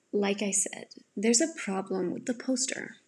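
The woman's voice is somewhat breathy. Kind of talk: audiobook narration.

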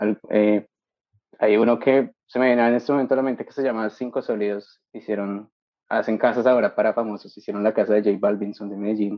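This man's delivery is monotone with flat intonation, yet his loudness swings widely. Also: fairly low pitch for a man, fairly quick pace. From Colombia, Bogotá. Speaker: industrial designer, master's student. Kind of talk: interview conversation.

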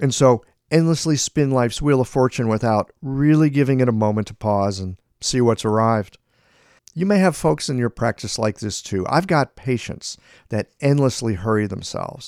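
Speaking at a moderate pace, a man uses an ordinary speaking voice with medium pitch and lively intonation. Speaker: podcast host and acupuncturist. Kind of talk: interview conversation.

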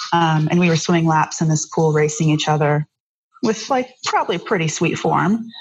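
The voice is somewhat breathy, with very even loudness. It moves at a moderate pace with ordinary pitch variation. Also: woman, fairly low pitch for a woman. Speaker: surfer and artist. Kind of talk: casual interview conversation.

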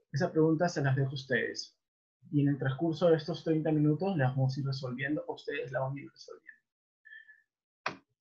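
With fairly even intonation and a moderate pace, this man's fairly high-pitched voice comes out somewhat breathy. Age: 30s. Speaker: webinar presenter, debt collection trainer. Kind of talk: online lecture. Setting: online webinar.

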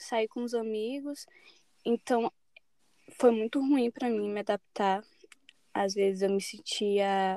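Recorded very cleanly against a silent background, a woman with a fairly high voice speaks with ordinary pitch variation in a dry, close sound with no echo. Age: 20s. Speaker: journalism student. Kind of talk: casual chat.

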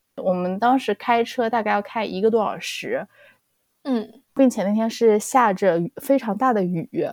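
Fairly high in pitch, a woman uses an ordinary speaking voice at a fairly slow pace, with ordinary pitch variation. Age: young. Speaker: podcast co-host. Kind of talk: casual chat.

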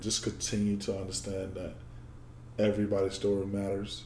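With an American accent, a man with a dark, mellow, somewhat breathy tone speaks at a moderate pace amid audible room echo. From Georgia, US. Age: 20s. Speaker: former football player. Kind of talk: interview conversation. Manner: halting.

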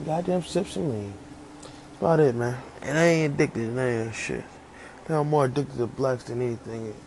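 Over noticeable background noise, a man at medium pitch talks at a fairly quick pace with ordinary pitch variation and big swings in loudness. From Virginia, US. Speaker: podcaster. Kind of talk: casual monologue.

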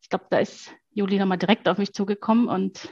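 A somewhat breathy woman's voice, dry and close with no echo. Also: quiet background. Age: 40s. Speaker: mother, former mentoring client. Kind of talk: interview testimony.

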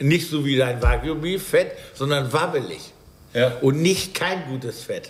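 Fairly slow, fairly high-pitched speech from a man, set in audible room echo over noticeable background noise. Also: ordinary pitch variation. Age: 50s. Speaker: baker. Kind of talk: casual chat. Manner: animated.

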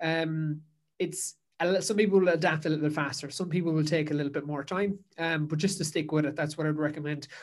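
In a Kerry accent, a man with a fairly high pitch talks at a very fast pace in a monotone, flat intonation. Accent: Kerry Irish. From Ireland, Dingle, County Kerry. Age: 20s. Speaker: endurance coach and podcaster. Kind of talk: casual interview. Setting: remote call.

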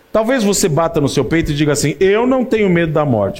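Noticeable background noise beneath a man's high pitch and lively intonation. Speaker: preacher. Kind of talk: sermon. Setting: church. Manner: warm, pastoral; humorous, relaxed.

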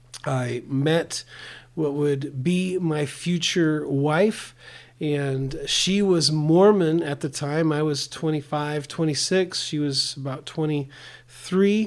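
Very slow speech from a man with fairly even intonation, on a very clean recording with a silent background. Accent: American. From US Pacific Northwest. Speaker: pastor. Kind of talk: testimony. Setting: in person.

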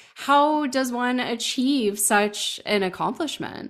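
A woman speaks at a fairly slow pace with a fairly high pitch and lively intonation, in a plain, everyday voice. The recording is very clean, with a silent background. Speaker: business coach and podcast host. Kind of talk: interview.

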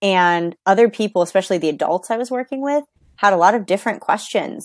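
Very fast speech comes from a woman with ordinary pitch variation. The recording is dry and close with no echo, very clean, with a silent background. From New York. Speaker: English coach. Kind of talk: interview.

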